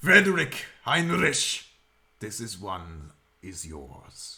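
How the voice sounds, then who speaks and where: A man in a put-on character voice speaks at a very slow pace and a fairly low pitch, with very wide pitch swings. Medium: actual play. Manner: measured, formal.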